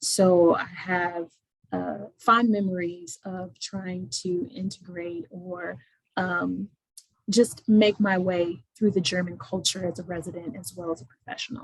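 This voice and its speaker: A woman with an American accent talks at a fairly slow pace, her medium-pitched voice somewhat breathy. Her loudness swings widely while her pitch varies in an ordinary way. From Indiana, US Midwest. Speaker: attorney. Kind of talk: webinar self-introduction.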